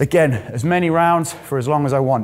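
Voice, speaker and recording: At a fairly slow pace, a man talks with ordinary pitch variation over light background noise. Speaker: boxing coach. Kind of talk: tutorial. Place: gym.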